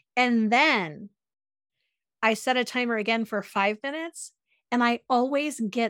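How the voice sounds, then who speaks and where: A woman in an unremarkable speaking voice, fairly high in pitch, with lively intonation at a fairly slow pace, on a very clean recording with a silent background and a dry, close sound with no echo. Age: 50s. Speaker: self-care author and podcaster. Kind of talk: casual chat.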